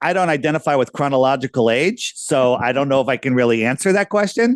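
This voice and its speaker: Talking very fast at a fairly high pitch, a man keeps his loudness very even and his intonation lively, in a dry, close sound with no echo. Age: 60s. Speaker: flat earth proponent. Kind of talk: casual discussion. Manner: animated.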